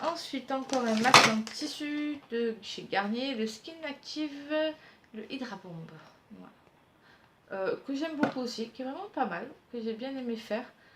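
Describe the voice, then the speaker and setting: With long, frequent pauses at a fairly slow pace, a woman speaks in a high pitch with ordinary pitch variation and big swings in loudness over noticeable background noise. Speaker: beauty youtuber. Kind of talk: product review vlog.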